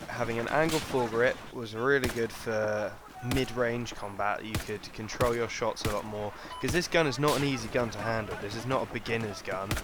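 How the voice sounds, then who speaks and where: Through noticeable background noise, a man speaks at a fairly quick pace with fairly even intonation. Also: medium pitch for a man. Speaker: video game reviewer. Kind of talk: gaming weapon review commentary.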